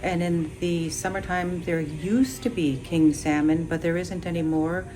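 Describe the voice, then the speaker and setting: A woman speaks at a moderate pace with fairly even intonation and a fairly low pitch. Noticeable background noise and audible room echo fill the recording. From Ruby, interior Alaska. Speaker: village resident. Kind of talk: interview. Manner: hesitant with fillers.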